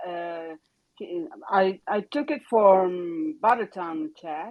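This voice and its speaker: The woman's pitch swings very widely while her pace stays very slow. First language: not English. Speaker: crypto content creator. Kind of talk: casual chat; reading aloud. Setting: online audio chat room. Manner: halting.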